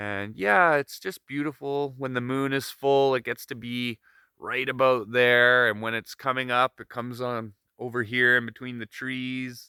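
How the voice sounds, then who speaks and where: Heard dry and close with no echo, a man with a bright, sharp tone and medium pitch speaks at a fairly slow pace with fairly even intonation. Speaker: solo wilderness video diarist. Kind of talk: casual video diary monologue. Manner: calm, relaxed; hesitant, with fillers.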